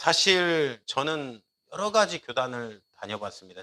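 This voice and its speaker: The voice has a bright, sharp tone and swings very widely in pitch. Its pace is fairly slow. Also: man, dry, close sound with no echo. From Korea, Jeolla region. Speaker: pastor. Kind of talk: sermon.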